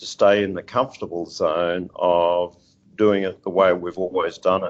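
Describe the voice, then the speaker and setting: Fairly low male voice, Australian accent. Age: 60s. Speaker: seafood industry executive. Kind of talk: interview. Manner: halting, many fillers.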